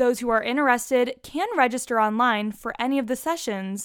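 At a fairly quick pace with ordinary pitch variation, an unremarkable speaking voice comes through on a very clean recording with a silent background. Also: woman. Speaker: student radio news host. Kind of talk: newsreading. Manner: formal, steady and even-paced; polished, neutral broadcast delivery.

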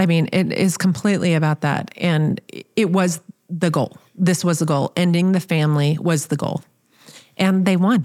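This woman has an unremarkable speaking voice, fairly low in pitch, with an American accent. She talks at a moderate pace with fairly even intonation and very even loudness. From small-town US. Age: 50s. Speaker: podcast host. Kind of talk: casual chat.

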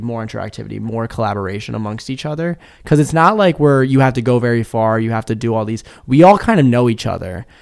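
A man with an American accent talks at a fairly quick pace in a plain, everyday voice, medium in pitch with lively intonation, on a very clean recording with a silent background. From Maryland, Kent County. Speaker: college student. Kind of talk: casual chat.

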